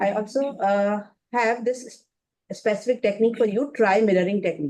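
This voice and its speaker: With a Pakistani accent, a woman talks at a moderate pace and a fairly high pitch. Her tone is dark and mellow. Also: ordinary pitch variation. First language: Urdu. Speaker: career workshop speaker. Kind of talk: webinar talk. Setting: online webinar. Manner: halting, many fillers.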